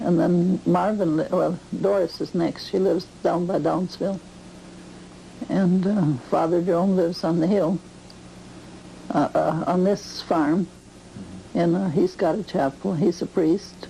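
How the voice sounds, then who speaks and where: Noticeable background noise sits behind a woman's fairly low voice. She talks at a fairly slow pace. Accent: American. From US Midwest, rural western Wisconsin. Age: 70s. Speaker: farm grandmother interviewed about her life. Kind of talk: oral history interview. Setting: at her farm.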